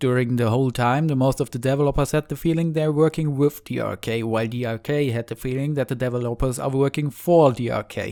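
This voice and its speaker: Speaking very fast with hardly any pauses, a man with a German accent uses a medium pitch, a dark, mellow tone and fairly even intonation, recorded dry and close with no echo. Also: very clean recording, silent background. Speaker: indie game developer. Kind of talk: video blog.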